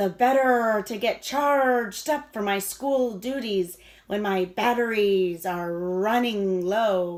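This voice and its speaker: Putting on a growling character voice, a woman speaks fairly slowly at a medium pitch with hardly any pauses. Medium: read story.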